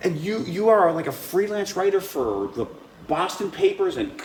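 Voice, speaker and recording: A man with a high pitch swings his voice very widely up and down, with audible room echo and noticeable background noise. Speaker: show host. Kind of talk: casual chat. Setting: library. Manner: quiet.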